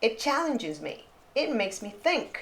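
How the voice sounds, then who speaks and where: Lively intonation marks this woman's moderate-paced delivery in a plain, everyday voice. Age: 60s. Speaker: artist and lifestyle vlogger. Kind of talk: reflective voice-over narration. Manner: calm, reflective.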